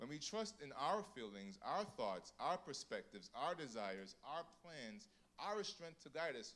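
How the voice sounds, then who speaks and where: A man speaks at a fairly slow pace and fairly high pitch, with vocal fry. His pitch swings very widely. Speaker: church program emcee. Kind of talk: casual storytelling then devotional opening. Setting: church. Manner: warm, humorous, animated. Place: church. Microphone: handheld.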